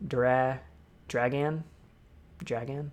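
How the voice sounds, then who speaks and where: Here a man speaks with an American accent. His pitch varies in an ordinary way. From Ohio, US. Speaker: discord talk host. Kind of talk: casual chat. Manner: fast; animated.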